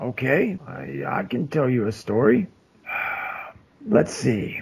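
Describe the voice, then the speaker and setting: Using a raspy, put-on character voice, a man speaks in a calm tone with very wide pitch swings. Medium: actual play. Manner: calm, folksy, cryptic.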